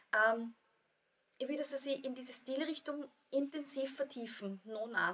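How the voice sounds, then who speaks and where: A woman with an Austrian accent speaks at a high pitch and a moderate pace, with fairly even intonation. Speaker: yoga teacher and author. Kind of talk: casual interview. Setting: studio.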